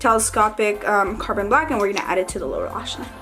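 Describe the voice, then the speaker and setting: Music plays in the background of a room with audible echo. A woman talks very fast at a fairly high pitch, with ordinary pitch variation. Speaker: beauty youtuber. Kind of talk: makeup tutorial. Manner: casual, hesitant with fillers.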